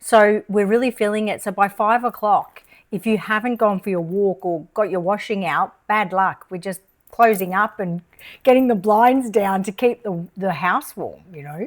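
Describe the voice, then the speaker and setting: Big swings in loudness mark the speech of a woman with an Australian accent, who talks at a moderate pace with a medium pitch. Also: ordinary pitch variation, very clean recording, silent background. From Australia, Melbourne. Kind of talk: casual chat.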